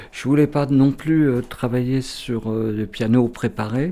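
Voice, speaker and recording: The voice belongs to a man and has a dark, mellow tone. Its pitch variation is ordinary. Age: 70s. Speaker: composer. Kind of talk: interview.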